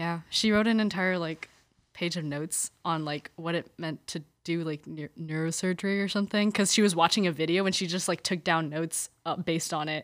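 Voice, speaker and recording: A woman with an American accent talks at a fairly quick pace in a plain, everyday voice, fairly low in pitch and with fairly even intonation. The recording is very clean, with a silent background. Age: young. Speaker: college student and campus ministry volunteer. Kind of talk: casual interview about faith. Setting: studio.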